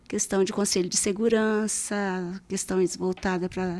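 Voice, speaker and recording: This is a woman with a normal speaking voice. Her pitch sits in the medium range. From Brazil, interior of Paraná state (Primeiro de Maio). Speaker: civil servant, community security council worker. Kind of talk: casual podcast interview.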